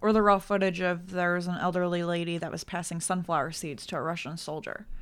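With an ordinary speaking voice, a woman talks at a fairly low pitch with fairly even intonation. Her loudness swings widely. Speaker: podcast guest. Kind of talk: casual chat.

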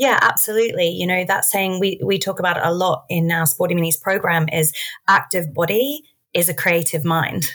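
With an Australian accent, a woman speaks at a moderate pace in a fairly low voice with ordinary pitch variation. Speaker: early years sports entrepreneur and athlete. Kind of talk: educational interview.

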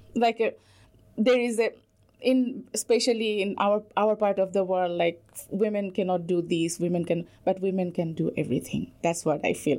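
Heard on a very clean recording with a silent background, a woman speaks with ordinary pitch variation. Her tone is dark and mellow. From Bangladesh. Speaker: PhD student in molecular ecology. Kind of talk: radio interview.

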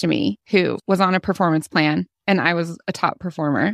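A woman's fairly low voice at a moderate pace with ordinary pitch variation, dry and close with no echo, against a quiet background. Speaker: career coach. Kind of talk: casual chat. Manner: animated.

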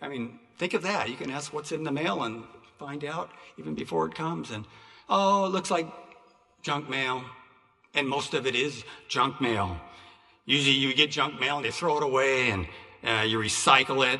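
A man's fairly high, bright, sharp voice with vocal fry and long, frequent pauses, in audible room echo. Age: 60s. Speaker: preacher. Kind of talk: sermon. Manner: halting.

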